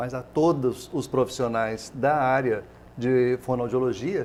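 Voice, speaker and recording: With ordinary pitch variation and a medium pitch, a man speaks at a fairly slow pace. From southern Minas Gerais, Brazil. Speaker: TV host. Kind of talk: interview.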